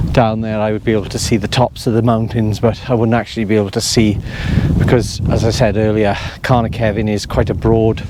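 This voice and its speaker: A man with a South Wales accent, medium-pitched, fairly quick and flat in a monotone, over noticeable background noise. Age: 60s. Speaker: walking vlogger. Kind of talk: casual walk-and-talk vlog. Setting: outdoors on foggy mountain.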